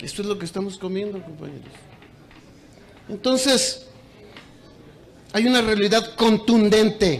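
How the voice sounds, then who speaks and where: An animated voice with a Mexican accent moves at a fairly slow pace with ordinary pitch variation and long, frequent pauses, amid audible room echo and noticeable background noise. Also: man, high pitch for a man. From Mexico. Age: 60s. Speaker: teachers' union leader. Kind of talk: conference speech. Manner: animated, repetitive emphasis.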